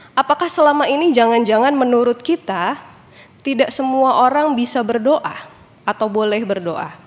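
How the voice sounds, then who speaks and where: A woman talks at a moderate pace with a high pitch and ordinary pitch variation. Noticeable background noise runs under her voice. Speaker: pastor. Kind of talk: sermon. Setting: church. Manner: casual, conversational.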